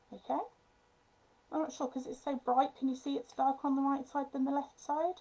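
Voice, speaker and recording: A woman talks at a high pitch in a monotone, flat intonation. She leaves long, frequent pauses. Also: fairly quick pace. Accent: strong Midlands. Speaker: papercraft designer. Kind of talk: tutorial. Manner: casual, hesitant.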